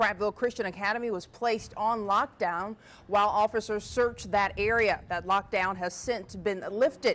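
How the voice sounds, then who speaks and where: A woman at a fairly high pitch with ordinary pitch variation and a moderate pace, music in the background. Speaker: TV news anchor and reporter. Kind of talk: TV news anchor delivery.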